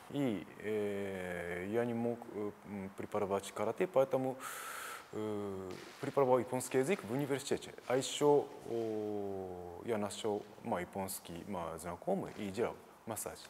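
A man with a Japanese accent talks at a fairly slow pace in a fairly low pitch, with ordinary pitch variation. Light background noise sits underneath. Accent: Japanese-accented Russian. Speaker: karate teacher. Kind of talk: interview. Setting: gym. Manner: halting. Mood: calm, reflective. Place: studio. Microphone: lapel.

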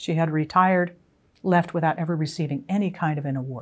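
A woman speaks at a fairly quick pace with an American accent. Her pitch is fairly low, with ordinary variation. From western Pennsylvania, US (small rural town). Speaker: retired army general and author. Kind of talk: interview monologue. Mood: calm, reflective. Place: home room. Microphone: lapel.

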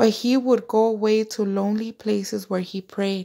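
Her dark, mellow tone comes through as a woman speaks at a fairly slow pace. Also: quiet background. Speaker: devotional vlogger. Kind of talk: scripture reading. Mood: devout, warm. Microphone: phone near.

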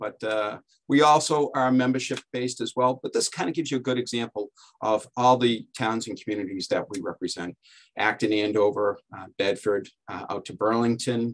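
Speaking at a moderate pace, a man shows ordinary pitch variation and big swings in loudness. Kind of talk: presentation talk in a webinar. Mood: relaxed, lightly joking. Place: office. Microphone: video call.

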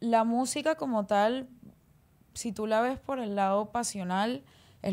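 Very slowly, a woman speaks in a dark, mellow tone. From Colombia, Barranquilla (Caribbean coast); Colombia. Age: 20s. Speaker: singer; guest. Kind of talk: casual interview chat. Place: studio. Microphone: studio mic.

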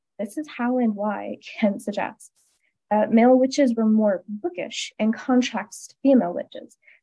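Speaking with an American accent, a woman has a fairly high pitch, a dark, mellow tone and ordinary pitch variation. Her pace is moderate, and the background is quiet. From US. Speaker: graduate student; presenter. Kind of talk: lecture. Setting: video call. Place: home room. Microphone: video call.

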